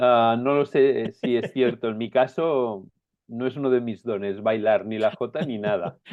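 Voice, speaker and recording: A fairly slow-paced man, a normal speaking voice, medium in pitch, with ordinary pitch variation. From Spain, Aragon (Zaragoza). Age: 60s. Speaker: pastor, writer and coach. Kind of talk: interview.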